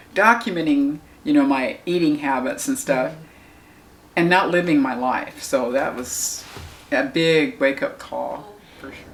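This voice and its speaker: Noticeable background noise sits under a woman speaking at a moderate pace, with big swings in loudness and long, frequent pauses. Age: 70s. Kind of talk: interview answer.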